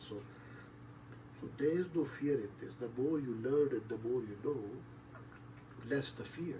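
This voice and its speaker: Medium-pitched male voice at a moderate pace, ordinary pitch variation, noticeable background noise. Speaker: show host. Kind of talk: monologue on spirituality. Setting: online stream. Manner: hesitant, filler-heavy.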